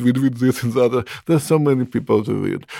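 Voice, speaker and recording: Fairly quick speech from a man with an Eastern European accent and a dark, mellow tone. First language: not English (Eastern European). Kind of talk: interview, answering questions about poetry.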